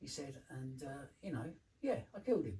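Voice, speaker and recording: A man's somewhat breathy voice in a London accent, medium in pitch and dark, mellow in tone, at a moderate pace. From London, England. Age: 70s. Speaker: former addict, community care manager. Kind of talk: life story interview. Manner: halting.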